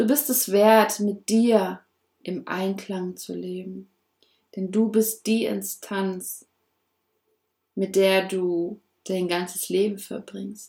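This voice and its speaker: Very slowly and with long, frequent pauses, a woman speaks in a dark, mellow tone at medium pitch with fairly even intonation. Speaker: podcast host, personal development coach. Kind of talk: motivational monologue. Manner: warm, affirming.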